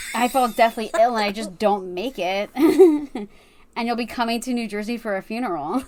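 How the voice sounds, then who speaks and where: A woman uses a wheezy, put-on character voice at a fairly high pitch. She keeps a moderate pace with hardly any pauses. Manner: wheezing laughter; joking, amused.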